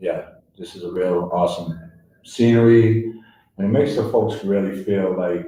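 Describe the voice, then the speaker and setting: A man's somewhat breathy, dark, mellow voice in a Boston accent, at a moderate pace with ordinary pitch variation, plus audible room echo. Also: fairly low pitch for a man. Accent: Boston-area New England. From Worcester, Massachusetts. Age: 40s. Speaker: peer recovery center director. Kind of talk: radio interview. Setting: live broadcast at recovery center. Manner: hesitant, many fillers.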